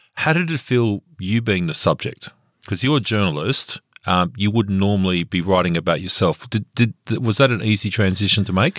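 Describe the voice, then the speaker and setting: With an Australian accent, a man speaks at a moderate pace in a fairly low voice with lively intonation, the sound dry, close and without echo, in a very clean recording with a silent background. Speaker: radio host. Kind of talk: radio interview.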